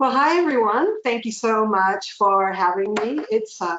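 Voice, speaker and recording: With a Canadian accent, a woman speaks at medium pitch with ordinary pitch variation. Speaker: community development trainer and speaker. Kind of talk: webinar presentation. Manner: fast.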